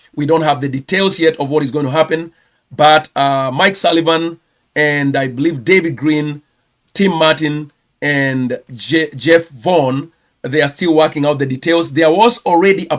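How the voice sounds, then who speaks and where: This speaker has a Kenyan accent and a moderate pace. The intonation stays fairly even throughout. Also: man. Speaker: pastor and channel host. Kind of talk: live stream news round-up. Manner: hesitant, with many fillers.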